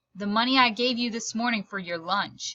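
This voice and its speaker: A woman puts on a growling character voice at a fairly high pitch. She keeps to a moderate pace. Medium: read story. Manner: blunt, impatient, casual slang.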